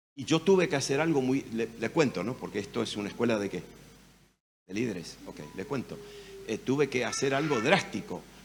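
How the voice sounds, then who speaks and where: An animated man at a medium pitch and fairly quick pace, with very wide pitch swings. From Argentina, Rosario. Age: 70s. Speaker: pastor. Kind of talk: sermon.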